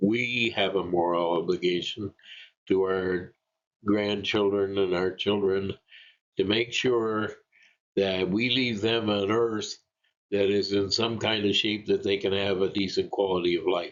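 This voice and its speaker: Speaking with a Canadian accent, a man talks fairly slowly at a fairly low pitch, monotone and flat, his loudness very even. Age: 70s. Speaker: retired energy planner. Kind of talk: presentation. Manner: halting, with frequent fillers.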